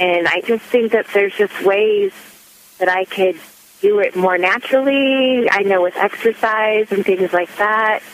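A woman talks at a fairly slow pace and medium pitch, with fairly even intonation and very even loudness. There is noticeable background noise. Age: 30s. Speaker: caller. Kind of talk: phone-in question. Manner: hesitant, many fillers.

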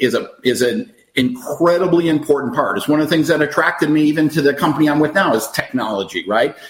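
This man has a fairly high pitch and ordinary pitch variation. It is a normal speaking voice. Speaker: network marketing leader. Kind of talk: casual interview chat.

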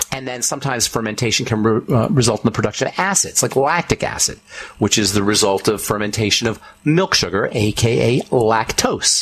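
In an American accent, an animated voice runs at a fairly quick pace with ordinary pitch variation over noticeable background noise. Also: man, medium pitch for a man. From Boulder, Colorado. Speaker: radio host and pharmacist. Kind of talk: radio show monologue on nutrition. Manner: animated, emphatic.

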